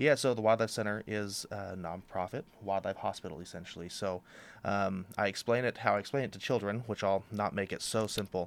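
On a very clean recording with a silent background, a man with an American accent talks at a fairly quick pace. His is an unremarkable speaking voice with fairly even intonation. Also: fairly low pitch for a man. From Oregon, Astoria. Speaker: wildlife center director. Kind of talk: radio interview. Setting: studio.

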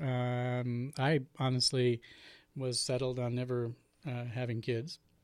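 Speaking fairly slowly with an American accent, a man at medium pitch is heard in a very clean recording against a silent background. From Portland, Oregon. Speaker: nonprofit director. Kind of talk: interview. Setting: studio. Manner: halting, many repetitions.

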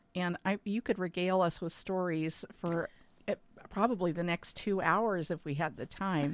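Recorded very cleanly against a silent background, a woman with an unremarkable speaking voice talks at a moderate pace, her medium pitch showing ordinary variation. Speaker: radio host. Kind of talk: interview conversation.

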